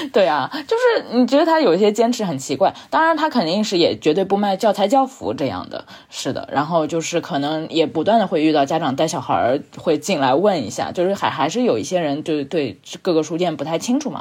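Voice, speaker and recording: A woman talks at a fairly quick pace with hardly any pauses. Her fairly low voice makes very wide pitch swings. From southern Jiangsu, China. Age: 30s. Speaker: book editor, former bookstore worker, podcaster. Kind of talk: casual chat.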